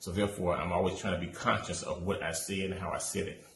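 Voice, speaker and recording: Amid audible room echo, a man with a very deep, low voice speaks at a fairly quick pace with fairly even intonation. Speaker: student teacher. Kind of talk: class assignment presentation. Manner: sometimes rushed.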